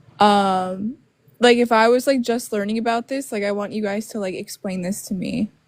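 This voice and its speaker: A woman with an ordinary speaking voice, pitched fairly high, keeps her intonation fairly even and moves at a moderate pace. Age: 20s. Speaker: caller. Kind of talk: online debate. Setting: livestream.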